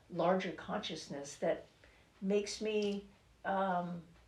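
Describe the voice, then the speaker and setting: The woman's delivery is fairly slow. Her words carry audible room echo. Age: 60s. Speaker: author. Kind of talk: interview. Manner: halting.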